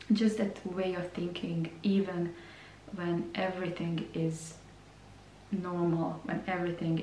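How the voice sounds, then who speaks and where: A woman at a fairly slow pace with monotone, flat intonation, amid audible room echo and noticeable background noise. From Croatia. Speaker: beauty vlogger. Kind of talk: vlog monologue. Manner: hesitant, repeats words.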